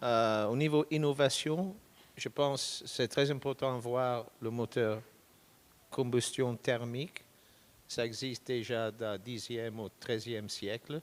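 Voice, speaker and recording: With a British accent, a man speaks at a very slow pace in a medium pitch with ordinary pitch variation. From Britain. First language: English (speaking French). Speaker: product manager. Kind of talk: panel discussion. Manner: halting non-native French.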